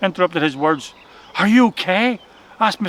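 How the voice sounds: The clip features a natural reading voice.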